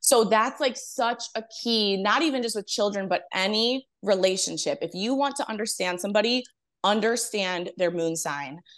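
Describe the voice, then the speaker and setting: Against a quiet background, a woman speaks at a moderate pace in a plain, everyday voice of medium pitch with ordinary pitch variation. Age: 30s. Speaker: astrologer. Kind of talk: casual interview chat.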